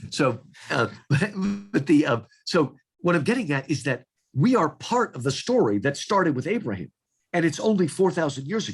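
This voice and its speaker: A man's fairly high, somewhat breathy voice at a fairly quick pace, with very wide pitch swings, long, frequent pauses, and a quiet background. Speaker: author and literature scholar. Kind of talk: interview conversation. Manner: halting, with false starts.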